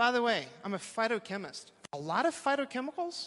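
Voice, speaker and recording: With an American accent, a man with a high, bright, sharp voice talks fairly quickly in an animated tone, his pitch swinging very widely. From Texas. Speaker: professor. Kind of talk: talk to a live audience.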